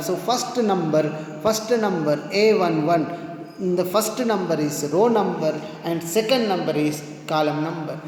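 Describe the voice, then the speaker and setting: Over noticeable background noise and audible room echo, the speech moves at a fairly slow pace with ordinary pitch variation. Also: man. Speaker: math teacher. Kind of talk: lecture.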